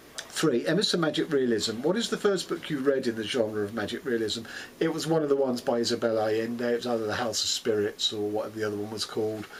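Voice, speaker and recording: A man speaks in a London accent at a medium pitch with ordinary pitch variation. He goes at a very fast pace with hardly any pauses. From London, England. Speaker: booktuber. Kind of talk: casual monologue. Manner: hesitant, many fillers.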